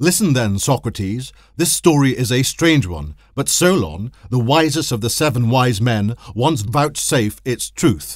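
At a fairly slow pace, a man with an ordinary speaking voice and medium pitch uses lively intonation in a very clean recording with a silent background. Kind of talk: history documentary narration. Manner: formal, measured; even, authoritative storytelling.

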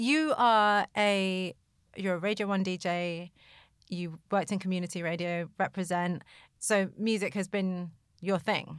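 With a British accent, a woman talks at a fairly slow pace and medium pitch, her intonation fairly even, in a very clean recording with a silent background. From UK, of Egyptian descent. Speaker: podcast host. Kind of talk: interview.

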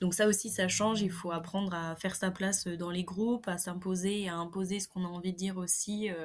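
Speaking fairly quickly with hardly any pauses, a woman keeps a medium pitch and a monotone, flat intonation. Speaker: agronomy engineering student. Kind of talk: casual interview.

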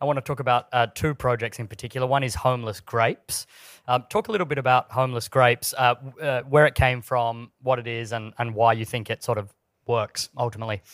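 Recorded very cleanly with a silent background and a dry, close sound free of echo, a man with an Australian accent talks at a very fast pace in a medium pitch with fairly even intonation. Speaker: podcast interviewer. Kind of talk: live interview on stage. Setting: stage with audience. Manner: halting with many fillers.

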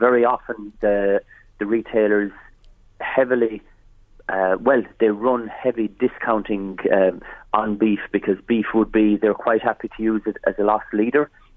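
Speaking in a rural Irish accent, a man holds a medium pitch and a moderate pace, his intonation monotone and flat. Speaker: farmers' association leader. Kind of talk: radio interview.

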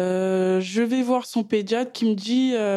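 A woman with a fairly high pitch and a dark, mellow tone speaks with fairly even intonation. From Paris suburbs, France. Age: 30s. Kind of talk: personal testimony. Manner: hesitant, many fillers.

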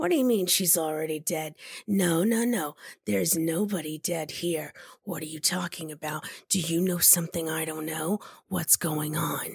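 Using a put-on character voice, a woman sounds raspy and intense at a fairly low pitch, keeping a moderate pace and ordinary pitch variation. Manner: pushy, intense, paranoid.

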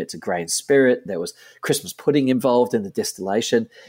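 Here a man talks with an Australian accent. His pitch is medium and his pace fairly quick. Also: very clean recording, silent background. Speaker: gin company co-founder. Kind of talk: interview. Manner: repetitive false starts.

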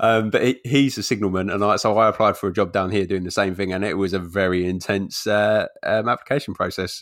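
A man with a London accent speaks at a very fast pace in a fairly low pitch. The recording is very clean with a silent background. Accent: London-area English. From London area, England. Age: 30s. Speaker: podcaster guest. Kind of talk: casual interview chat. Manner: jokey, laughs often.

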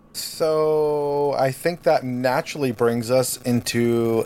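This man's voice sits at a medium pitch. His pitch varies in an ordinary way. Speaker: podcast co-host. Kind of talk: casual chat.

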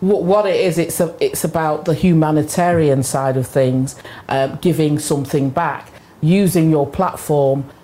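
Over noticeable background noise, a woman with a very deep, low pitch talks at a moderate pace with very even loudness. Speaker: radio host. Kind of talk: casual chat. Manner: animated.

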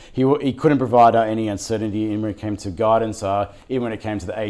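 A very fast Australian-accented male voice, fairly low in pitch, dark and mellow in tone, with fairly even intonation. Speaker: financial news show co-host. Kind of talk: casual market wrap-up chat. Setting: studio. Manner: frequent hesitations and filler.

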